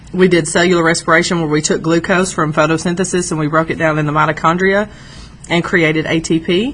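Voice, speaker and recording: Speech comes at a very fast pace in a flat monotone. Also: woman, fairly low pitch for a woman. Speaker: high school biology teacher. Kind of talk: lecture.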